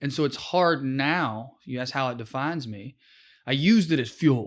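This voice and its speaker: With a Southern US accent, a man talks at a moderate pace and fairly high pitch. His pitch variation is ordinary, and the recording is very clean with a silent background. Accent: Southern US accent, milder than in youth. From rural East Tennessee, small town. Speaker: comedian, former public defender. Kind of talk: podcast interview.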